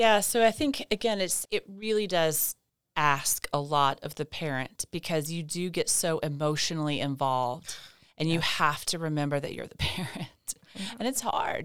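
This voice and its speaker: A woman with an East Tennessee accent talks at a moderate pace in a fairly low pitch, with lively intonation and big swings in loudness. The recording is very clean, with a silent background. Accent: Southern US (East Tennessee). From US South (East Tennessee). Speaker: physician. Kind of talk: interview. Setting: studio.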